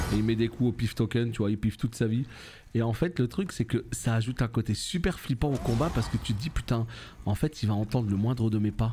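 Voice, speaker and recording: Medium pitch from a man at a fairly quick pace, his pitch varying in an ordinary way, with music in the background. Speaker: gaming youtuber. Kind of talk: let's play commentary. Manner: animated.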